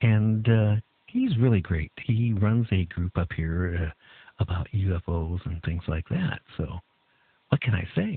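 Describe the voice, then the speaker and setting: The pace is fairly slow. A man speaks with a very deep, low pitch. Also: ordinary pitch variation. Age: 60s. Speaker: radio talk show host. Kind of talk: talk radio interview. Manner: halting, many fillers.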